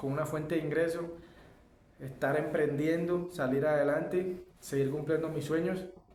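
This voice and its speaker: At a moderate pace, the speech comes with monotone, flat intonation, audible room echo and noticeable background noise. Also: man, fairly high pitch for a man. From Colombia, Caribbean coast (Santa Marta). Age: 20s. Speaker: aluminium fabricator and barber. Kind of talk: personal life story monologue. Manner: halting, many fillers and self-corrections.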